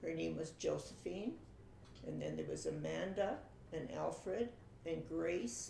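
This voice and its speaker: A woman's fairly slow speech in a Canadian prairie accent, with audible room echo and noticeable background noise. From Saskatchewan, Canada. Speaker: family interviewee telling her life story. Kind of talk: oral history interview. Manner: hesitant, with fillers.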